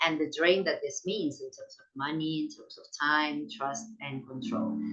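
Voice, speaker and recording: A woman speaks at a fairly slow pace, her volume swinging widely. Audible room echo and noticeable background noise fill the recording. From Latin America. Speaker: sociologist of science. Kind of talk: academic lecture. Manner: halting, many repetitions.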